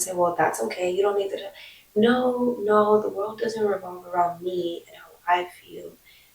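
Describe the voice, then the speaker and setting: Noticeable background noise sits behind the speaker. She is a woman with a medium pitch. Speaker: vlogger. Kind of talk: casual vlog monologue.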